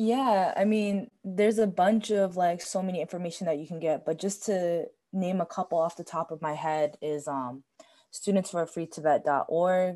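A normal speaking voice from a woman at a fairly low pitch, with ordinary pitch variation and a moderate pace. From US, Tibetan family. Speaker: podcast guest. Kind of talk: casual chat.

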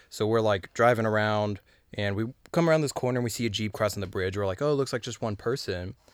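Someone with a Californian accent talks at a very fast pace, with ordinary pitch variation, on a very clean recording with a silent background. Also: man, fairly low pitch for a man. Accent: Californian American. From Southern California (Los Angeles). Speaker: musician. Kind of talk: casual chat. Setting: studio.

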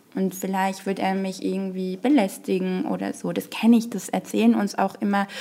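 Over noticeable background noise, a woman's words come at a moderate speed. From Morocco. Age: 20s. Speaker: political scientist and party staffer. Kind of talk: interview. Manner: hesitant, many fillers.

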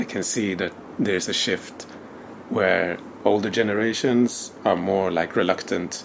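A man's fairly low voice at a fairly slow pace, with fairly even intonation and noticeable background noise. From Sweden. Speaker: teacher and organization founder. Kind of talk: interview podcast.

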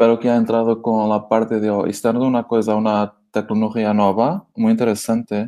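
A man with a Portuguese accent speaks at a moderate pace in a medium pitch, his tone dark and mellow. His intonation stays monotone and flat against a quiet background. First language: Portuguese (speaking Spanish). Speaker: crypto wallet co-founder. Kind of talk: interview. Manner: halting.

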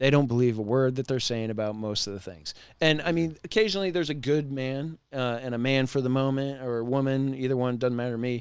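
This man talks at a very fast pace, with a medium pitch and ordinary pitch variation. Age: 40s. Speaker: solar sales leader and army veteran. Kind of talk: casual podcast interview.

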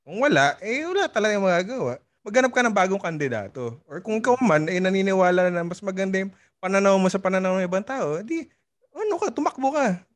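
Lively in intonation, a man with a high pitch talks at a very fast pace. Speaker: podcast co-host and DJ. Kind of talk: casual chat.

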